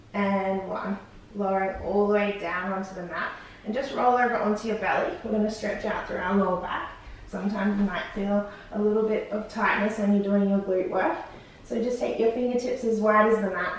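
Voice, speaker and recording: A woman talks at a fairly quick pace with fairly even intonation, in a room with strong echo and light background noise. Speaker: fitness instructor. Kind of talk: exercise class instruction. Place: home room.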